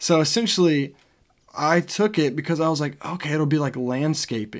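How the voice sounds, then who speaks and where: A man with an American accent and an ordinary speaking voice, moderate pace, ordinary pitch variation, very clean recording with a silent background. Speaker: podcast co-host, college student. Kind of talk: casual chat.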